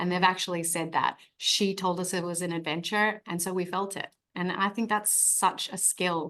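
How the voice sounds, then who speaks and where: Speaking with an Australian accent, a woman uses a medium pitch. Her intonation is monotone and flat. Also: moderate pace, hardly any pauses. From Australia, Sydney. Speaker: actress. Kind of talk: press interview.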